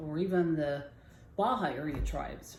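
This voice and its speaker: Amid audible room echo, a woman with a very deep, low pitch talks at a very slow pace with fairly even intonation. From Southern California, Jamul reservation. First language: Kumeyaay. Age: 60s. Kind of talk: personal storytelling. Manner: halting.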